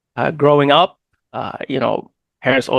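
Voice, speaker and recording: Very fast and fairly high-pitched, a man talks with vocal fry in a dry, close sound with no echo. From New York, South Brooklyn (from age 7, born in Egypt). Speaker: political candidate, former EMT. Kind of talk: interview. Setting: podcast interview. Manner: halting, many fillers and repeats.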